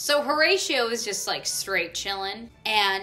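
A woman's voice with ordinary pitch variation, faint music in the background. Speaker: literature summary vlogger. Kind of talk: casual explainer vlog. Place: home room. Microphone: phone near.

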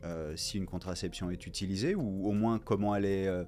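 This is a man talking. There is light noise in the background. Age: 40s. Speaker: co-founder of a contraception cooperative. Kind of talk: interview testimony. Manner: hesitant, many fillers. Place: studio. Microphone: studio mic.

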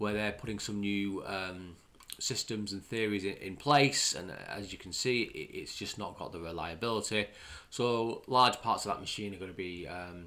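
A man's fairly low voice with a bright, sharp tone, moderate pace, ordinary pitch variation, and big swings in loudness. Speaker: channel host commenting on news. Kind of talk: commentary. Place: home room.

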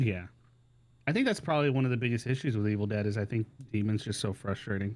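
Talking at a very fast pace, a man keeps his loudness very even. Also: medium pitch for a man, ordinary pitch variation. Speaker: gamer friend. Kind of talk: casual chat. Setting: Discord call. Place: home room. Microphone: studio mic.

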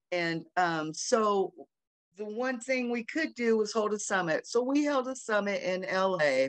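Against a quiet background, a woman speaks at a fairly slow pace with very wide pitch swings. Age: 60s. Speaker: sex worker rights activist, panelist. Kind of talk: panel discussion. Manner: halting, many fillers. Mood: earnest, reflective. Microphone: video call.

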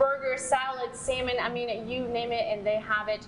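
A woman speaks at a moderate pace with fairly even intonation and a fairly high pitch. Clear background noise runs behind her.

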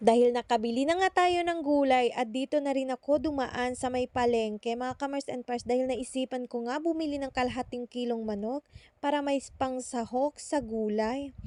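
High-pitched female voice with a dark, mellow tone, fairly even intonation and a moderate pace, hardly any pauses, in a dry, close sound with no echo. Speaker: vlogger. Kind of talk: voice-over narration. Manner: stumbles over words.

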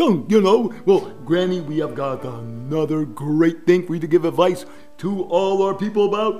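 Clear music plays in the background as a man performs a cartoonish character voice at a high pitch and a moderate pace. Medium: puppet. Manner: eager, upbeat.

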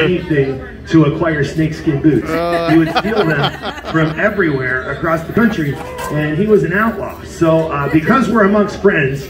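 Noticeable background noise behind a man at a moderate pace. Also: ordinary pitch variation. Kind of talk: stage banter. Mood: playful, joking. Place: stage.

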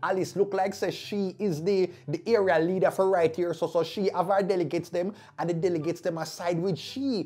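A man speaks with a Jamaican accent at a moderate pace. His tone is animated. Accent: Jamaican, with patois. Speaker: YouTube commentary vlogger. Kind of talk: casual commentary monologue. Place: studio. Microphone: lapel.

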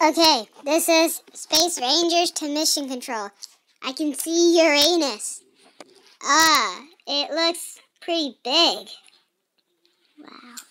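In a high-pitched, cartoonish character voice, the speaker leaves long, frequent pauses. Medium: puppet show. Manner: excited, silly.

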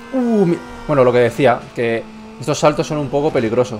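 With music in the background, a man speaks at a moderate pace and medium pitch, with ordinary pitch variation. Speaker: gaming YouTuber. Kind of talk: gameplay commentary.

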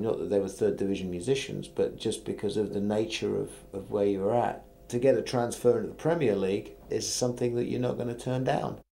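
Dark and mellow in tone, a man with a fairly low pitch speaks at a fairly quick pace. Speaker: musician, former solo artist who joined the band. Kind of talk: interview answer.

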